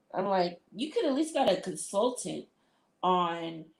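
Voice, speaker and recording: Speaking at a fairly slow pace, a woman with an American accent uses a medium pitch with very wide pitch swings and vocal fry. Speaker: livestreamer. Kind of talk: casual chat. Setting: live stream.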